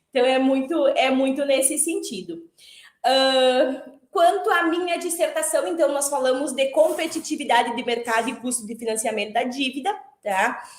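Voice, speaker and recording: A woman's high-pitched voice at a moderate pace, lively intonation and audible room echo. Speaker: former master's student, accountant and lecturer. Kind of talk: online panel talk.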